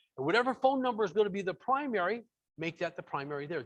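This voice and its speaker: Loud and at a fairly quick pace, a man talks with very wide pitch swings. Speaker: software trainer. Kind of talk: webinar tutorial. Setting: online webinar from home.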